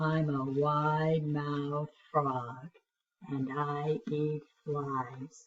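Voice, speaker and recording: Putting on a character voice, a woman speaks at a very slow pace with a very deep, low pitch. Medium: read story.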